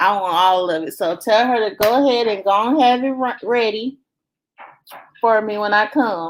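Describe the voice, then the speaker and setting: A plain, everyday voice with an American accent. Pitch moves in an ordinary way at a moderate pace. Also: woman, fairly high pitch for a woman. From US South, Belzoni, Mississippi. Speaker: family vlogger, live stream host. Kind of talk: casual live chat reading viewer comments.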